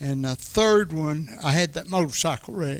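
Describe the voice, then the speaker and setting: A man with a fairly high pitch talks in a Tennessee accent. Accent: Southern US (Tennessee). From Middle Tennessee, US South. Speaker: retired racing enthusiast. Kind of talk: casual chat.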